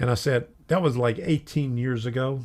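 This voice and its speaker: A somewhat breathy man speaks at a fairly slow pace. The recording is very clean, with a silent background. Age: 70s. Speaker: model railroad youtuber. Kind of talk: live stream casual chat. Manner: halting.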